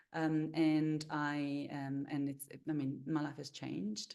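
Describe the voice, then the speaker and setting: A woman's very deep, low voice with a dark, mellow tone, an Italian accent, fairly even intonation and a fairly slow pace. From Italy. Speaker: meditation coach and holistic therapist. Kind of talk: webinar introduction. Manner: halting, many fillers.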